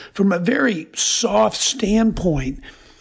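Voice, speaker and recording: There is noticeable background noise as a man talks in a high voice. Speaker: parenting counselor. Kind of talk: interview. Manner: loud.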